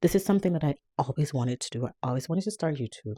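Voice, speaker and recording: A woman's very deep, low pitch with a dark, mellow tone and lively intonation, dry, close sound with no echo, on a very clean recording with a silent background. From Jamaica. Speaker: vlogger. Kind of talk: casual chat.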